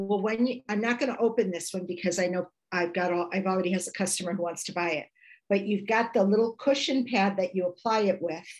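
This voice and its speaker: This woman has an ordinary speaking voice, pitched at a medium level, with ordinary pitch variation. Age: 60s. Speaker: product presenter. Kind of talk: product demonstration.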